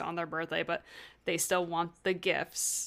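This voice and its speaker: A woman's animated tone at a moderate pace, on a very clean recording with a silent background. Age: 20s. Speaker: podcast co-host, classical musician. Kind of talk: casual chat, book discussion podcast. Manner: animated, laughs often.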